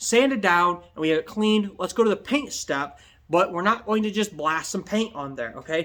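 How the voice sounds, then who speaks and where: A loud man at a high pitch, with lively intonation and a fairly quick pace. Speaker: DIY restoration youtuber and upholstery shop owner. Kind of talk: tutorial. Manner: casual, ranting.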